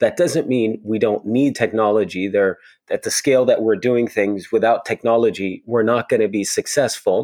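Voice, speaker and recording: An ordinary speaking voice from a man, medium in pitch with ordinary pitch variation and a moderate pace, dry and close with no echo, on a very clean recording over a silent background. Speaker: security executive. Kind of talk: interview conversation.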